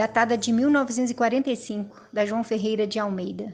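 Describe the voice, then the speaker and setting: A woman's voice with ordinary pitch variation. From Brazil, Minas Gerais. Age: 60s. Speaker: former Jehovah's Witness giving testimony. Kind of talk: personal testimony.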